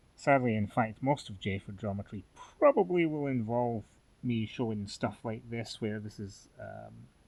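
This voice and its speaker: A medium-pitched man in a Scottish accent, with ordinary pitch variation. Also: moderate pace. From Scotland. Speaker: fencing instructor. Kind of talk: tutorial. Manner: halting, many fillers.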